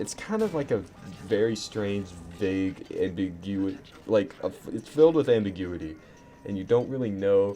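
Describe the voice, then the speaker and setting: Over music in the background, a man with a fairly low pitch speaks at a moderate pace. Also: ordinary pitch variation. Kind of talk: casual storytelling to camera. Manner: stuttering, sputtering; rambling, profane.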